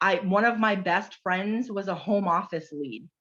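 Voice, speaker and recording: A woman with a medium-pitched voice speaks in an animated tone with ordinary pitch variation against a quiet background. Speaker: direct sales consultant. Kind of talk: casual chat. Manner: loud.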